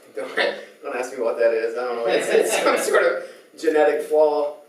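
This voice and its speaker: At a moderate pace, a man with a slight Central Californian accent speaks amid audible room echo and noticeable background noise. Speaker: youth pastor. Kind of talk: sermon. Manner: repeats words, halting.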